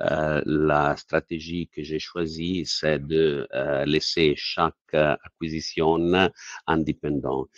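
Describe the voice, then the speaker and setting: A man with an Italian accent speaks very slowly in a very deep, low voice and a monotone, flat intonation. The sound is dry and close, with no echo. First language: Italian (speaking French). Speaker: company CEO. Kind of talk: investor Q&A. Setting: webinar. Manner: halting.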